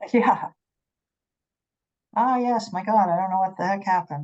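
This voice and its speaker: The woman's voice sits at a medium pitch. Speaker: committee meeting facilitator. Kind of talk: public meeting, troubleshooting audio. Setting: hybrid meeting room with remote attendees. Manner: loud.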